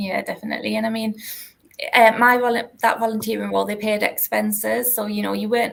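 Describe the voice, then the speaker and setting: A woman is speaking with a North East England accent. Her pace is very fast. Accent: North East English (Geordie). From North East England, Newcastle. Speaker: university alumni relations manager. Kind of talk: interview, career story.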